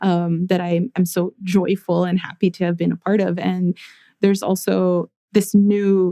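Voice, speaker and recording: Her medium-pitched voice has a dark, mellow tone, as this woman speaks at a moderate pace with monotone, flat intonation in a dry, close sound with no echo. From US, Guatemalan-American family. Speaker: therapist and visual artist. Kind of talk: interview conversation.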